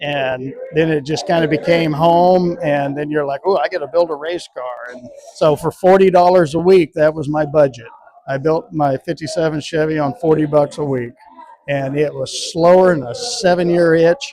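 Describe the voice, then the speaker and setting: A normal speaking voice, a man with an American accent at a moderate pace and ordinary pitch variation. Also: fairly high pitch for a man. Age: 60s. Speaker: drag racer. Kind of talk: interview.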